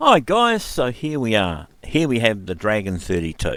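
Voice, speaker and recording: A man with a New Zealand accent speaks at a moderate pace, his fairly low voice making very wide pitch swings. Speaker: retro computer YouTuber. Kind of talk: casual tutorial.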